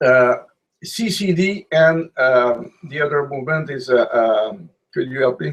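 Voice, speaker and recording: Very slow and broken by long, frequent pauses, a man's fairly high voice moves with ordinary pitch variation. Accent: Quebec. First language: French. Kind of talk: online discussion. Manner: halting.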